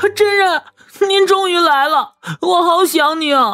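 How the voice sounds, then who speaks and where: A woman uses a put-on character voice. It is extremely high-pitched and fairly slow. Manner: pleading, clingy, affectionate.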